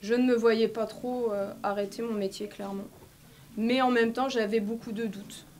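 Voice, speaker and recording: At a moderate pace, a woman speaks with a fairly high pitch in a monotone, flat intonation. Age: 40s. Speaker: medico-social worker, vaccine injury victim. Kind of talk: testimony. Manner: halting, with many fillers.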